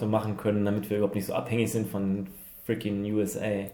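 With audible room echo, a man talks at a very fast pace in a fairly low pitch, his tone dark and mellow. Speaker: podcast co-host. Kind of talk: casual chat.

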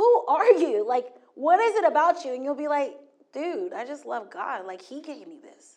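A woman at a moderate pace, high-pitched and animated, with very wide pitch swings and big swings in loudness. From Hawaii. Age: 40s. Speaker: guest preacher. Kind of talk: sermon.

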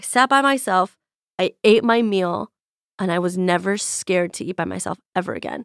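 A woman with a normal speaking voice talks at a medium pitch with ordinary pitch variation. The sound is dry and close, with no echo. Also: moderate pace. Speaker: chef, host's boss and friend. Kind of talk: casual chat. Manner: joking, playful.

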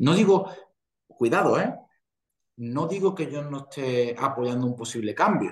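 With a Castilian accent, a man speaks at a moderate pace in a fairly high pitch with lively intonation. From Spain. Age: 40s. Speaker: professional golfer. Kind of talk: interview.

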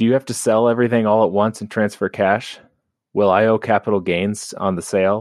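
A man with a normal speaking voice and a fairly low pitch talks at a fairly quick pace, the sound dry and close with no echo over a quiet background. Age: 30s. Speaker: lawyer, caller. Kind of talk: recorded voicemail question.

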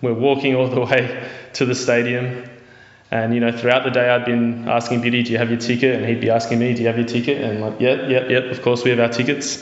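Against noticeable background noise, a man races along at a very fast pace in a monotone, flat voice. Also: medium pitch for a man. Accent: Australian. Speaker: football fan, friend of host. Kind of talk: storytelling. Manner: halting.

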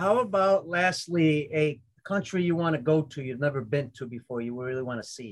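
At a moderate pace, a man with a fairly high pitch talks with lively intonation and big swings in loudness. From Italy and US. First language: Italian. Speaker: podcast host, baseball coach. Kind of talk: interview. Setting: live stream. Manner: animated.

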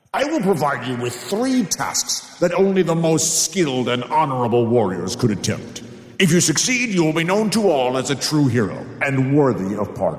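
Putting on a growling character voice, a man speaks at a moderate pace and fairly high pitch, with slight echo. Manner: snarling, commanding.

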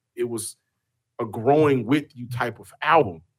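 The recording is very clean with a silent background, and a man talks at a medium pitch with ordinary pitch variation. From Houston, Texas. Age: 30s. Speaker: sports podcaster. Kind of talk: casual chat.

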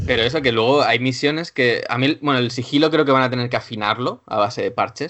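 This man speaks at a very fast pace with hardly any pauses. His pitch sits in the medium range. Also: ordinary pitch variation. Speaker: video game journalist. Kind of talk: casual chat.

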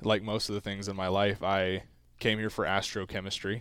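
A man with an American accent, a plain, everyday voice, fairly low pitch and a moderate pace. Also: very clean recording, silent background. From US South. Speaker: college athlete. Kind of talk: casual interview.

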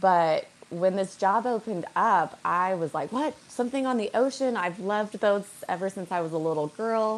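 Delivered at a moderate pace with hardly any pauses, it is an unremarkable speaking voice with ordinary pitch variation. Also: woman, medium pitch for a woman. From Colorado. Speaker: boat captain and podcaster. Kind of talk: casual interview.

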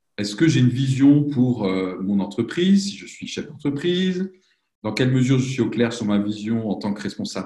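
A man speaks at a moderate pace with lively intonation and a somewhat breathy voice. His loudness swings widely. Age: 40s. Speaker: professional coach and consultant. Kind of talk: interview.

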